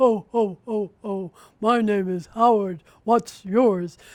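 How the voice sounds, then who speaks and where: Putting on a character voice, a man speaks at a high pitch and a very slow pace with fairly even intonation. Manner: mocking, teasing.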